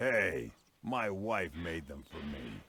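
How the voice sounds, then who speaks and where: A put-on character voice from a man, very deep and low, with very wide pitch swings. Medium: video game. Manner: deadpan.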